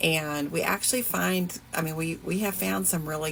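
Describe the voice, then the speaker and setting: A woman with a very deep, low pitch, a slight Southern US accent, lively intonation and a moderate pace. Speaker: fashion and thrift vlogger. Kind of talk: casual vlog chat. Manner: casual, hesitant with fillers.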